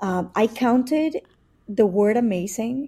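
A woman speaks with a Spanish accent and ordinary pitch variation. Her tone is dark and mellow, and somewhat breathy. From Mexico City. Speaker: entrepreneur and pilot. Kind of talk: casual interview chat.

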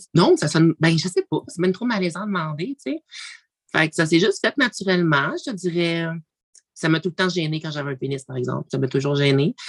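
With a Quebec accent and ordinary pitch variation, the speaker talks at a fairly quick pace in a dry, close recording with no echo. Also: woman, fairly low pitch for a woman. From Quebec, Abitibi-Témiscamingue. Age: 20s. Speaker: reality TV personality. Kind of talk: casual interview.

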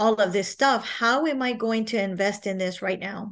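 A woman with an American accent speaks at a fairly slow pace. Behind her, the background is quiet. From Texas, San Marcos. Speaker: HR professional. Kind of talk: testimony. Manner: halting.

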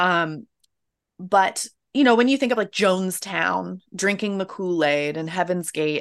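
A plain, everyday voice from a woman with an American accent, fairly low-pitched, at a moderate pace. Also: quiet background. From US South, Florida. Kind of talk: interview conversation.

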